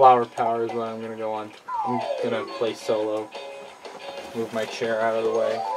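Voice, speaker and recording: A man's speech with long, frequent pauses over loud background music. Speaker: gamer. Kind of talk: casual gameplay commentary. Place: home room.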